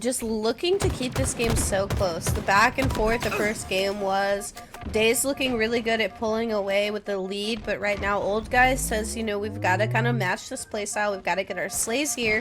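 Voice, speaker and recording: Fairly high-pitched woman with ordinary pitch variation and hardly any pauses, music in the background. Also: moderate pace. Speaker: esports caster. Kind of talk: live commentary. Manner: animated.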